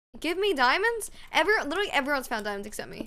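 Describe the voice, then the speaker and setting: Using a raised, projected voice, a woman speaks at a high pitch and a fairly quick pace, her pitch swinging very widely. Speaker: streamer. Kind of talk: casual gaming livestream chat. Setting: live stream with voice chat. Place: home room.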